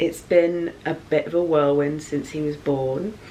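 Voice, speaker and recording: Soft-spoken, a woman with an English accent talks in a very deep, low voice. Noticeable background noise and audible room echo surround her. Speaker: YouTuber, mother. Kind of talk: casual vlog.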